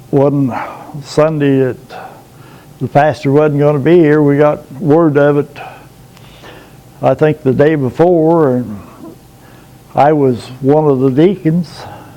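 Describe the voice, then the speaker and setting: Over noticeable background noise, a man with a fairly high pitch speaks at a very slow pace with long, frequent pauses and fairly even intonation. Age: 70s. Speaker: pastor of a small rural church. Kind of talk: interview testimony. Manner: halting.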